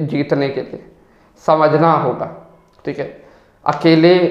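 A man speaks in a flat monotone at fairly high pitch. Room echo is audible around him. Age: young. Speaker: digital marketer and copywriter. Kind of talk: personal storytelling monologue.

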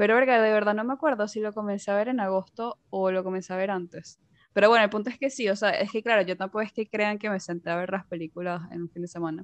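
A woman talks at a very fast pace with hardly any pauses. Her pitch is medium, with ordinary pitch variation. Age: 20s. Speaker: podcast host. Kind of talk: casual chat.

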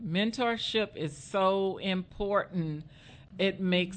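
Fairly even in intonation and medium in pitch, the woman speaks in a plain, everyday voice. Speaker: nonprofit founder and author. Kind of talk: casual interview.

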